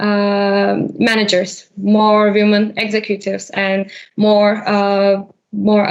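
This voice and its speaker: Here a woman with a fairly high pitch speaks in a Turkish accent. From Turkey. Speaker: HR implementation consultant. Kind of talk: podcast interview. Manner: hesitant, many fillers.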